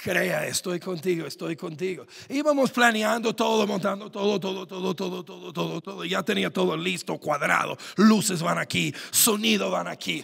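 This man's voice is high-pitched and animated in tone. He keeps a moderate pace with ordinary pitch variation. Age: 30s. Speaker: pastor. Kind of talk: sermon. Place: church. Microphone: handheld.

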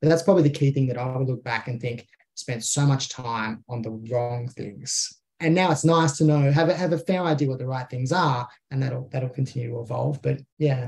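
Speaking with an Australian accent, a man uses a medium pitch with ordinary pitch variation, sounding somewhat breathy at a moderate pace. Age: 30s. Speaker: small business owner. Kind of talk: casual interview chat.

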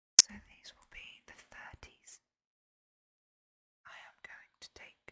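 Whispering at a fairly slow pace, broken by long, frequent pauses. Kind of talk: ASMR whisper video. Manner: whispered.

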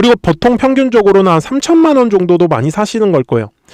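Fairly quick and high-pitched, a man's voice swings very widely, recorded dry and close with no echo. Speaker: stock market YouTuber. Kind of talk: stock analysis monologue. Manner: animated, talks directly to viewers.

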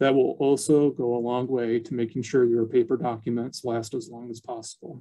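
The voice has a dark, mellow tone with big swings in loudness and fairly even intonation. It moves at a moderate pace with hardly any pauses against a quiet background. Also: man. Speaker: archivist. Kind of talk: educational webinar presentation. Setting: video call. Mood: briefly apologetic over screen glitch. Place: office. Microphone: webcam.

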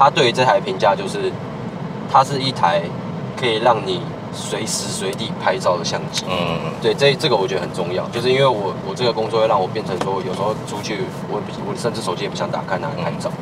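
Fairly quick speech from a man against loud background noise. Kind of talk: casual conversation answer. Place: car. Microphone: phone near.

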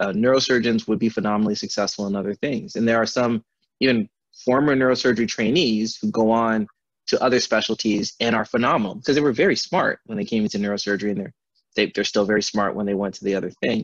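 An American man talks at a very fast pace with a medium pitch and ordinary pitch variation. The background is quiet and the sound is dry with no echo. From Milwaukee, Wisconsin and Accra, Ghana. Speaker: neurosurgeon; speaker. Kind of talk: lecture. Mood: warm, reflective. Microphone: video call.

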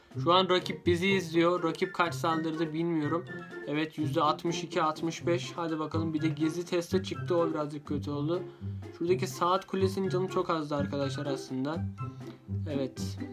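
With clear music in the background, a man speaks at a fairly slow pace with ordinary pitch variation. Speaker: gaming video creator. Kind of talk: casual gameplay commentary. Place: home room.

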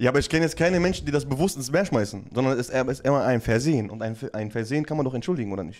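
The delivery is very fast and animated, with lively intonation and hardly any pauses. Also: man. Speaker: streamer running prank calls. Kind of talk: casual chat on a live stream. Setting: live stream. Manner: animated, laughs often. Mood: joking, playful. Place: studio. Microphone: studio mic.

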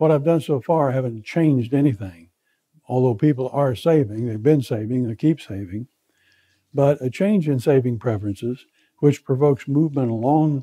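In a dark, mellow tone, the speaker goes at a moderate pace with ordinary pitch variation against a quiet background. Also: man. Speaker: lecturer. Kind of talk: lecture. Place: classroom.

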